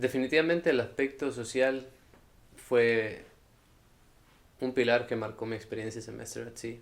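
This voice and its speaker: A man at medium pitch, moderate pace, fairly even intonation and long, frequent pauses. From El Salvador. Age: 20s. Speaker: university student. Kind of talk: interview.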